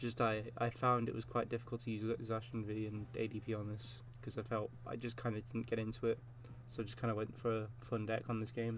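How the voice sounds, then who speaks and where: Here is a man of medium pitch with vocal fry. He talks at a fairly quick pace in a monotone, flat way. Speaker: gaming youtuber. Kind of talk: gameplay commentary. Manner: fast; halting. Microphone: recording quality may be poor, new PC setup.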